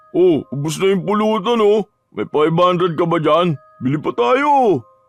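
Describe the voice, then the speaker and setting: Over faint background music, a man puts on a character voice pitched high, with very wide pitch swings and a moderate pace. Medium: read story.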